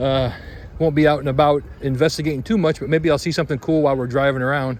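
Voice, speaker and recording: With ordinary pitch variation, a man speaks in a medium register. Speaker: travel vlogger. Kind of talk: casual travel vlog narration. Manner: loud.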